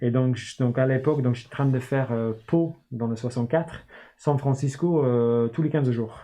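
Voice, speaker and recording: A man with an English accent talks at a moderate pace and medium pitch, keeping his intonation fairly even. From northern England, Newcastle. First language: English (speaking French). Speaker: start-up founder and CEO. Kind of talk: interview. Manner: hesitant, many fillers.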